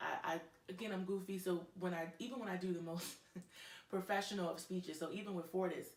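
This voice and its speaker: A woman talks at a very fast pace in a medium pitch, with noticeable background noise and audible room echo. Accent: American. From New York. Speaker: professor and public speaker. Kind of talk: interview chat. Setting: studio. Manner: loud; animated.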